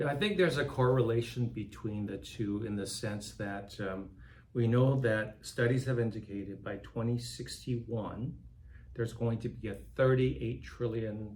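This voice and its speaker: This man's voice is somewhat breathy, with ordinary pitch variation at a moderate pace. Audible room echo surrounds the recording. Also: medium pitch for a man. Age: 60s. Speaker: nonprofit philanthropy director. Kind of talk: interview conversation.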